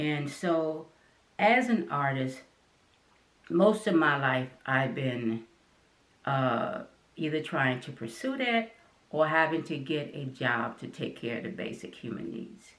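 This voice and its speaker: A woman with an American accent, very deep and low in pitch, at a very slow pace with very wide pitch swings and long, frequent pauses. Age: 60s. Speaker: artist and channel host. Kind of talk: personal talk to camera. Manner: halting.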